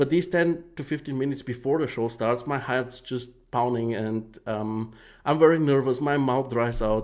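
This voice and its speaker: A man with a non-native accent speaks at a medium pitch and a moderate pace with ordinary pitch variation, in a very clean recording with a silent background. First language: not English. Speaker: live show host giving feedback on 3D renders. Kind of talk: live stream commentary. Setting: live stream with chat. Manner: hesitant, many fillers.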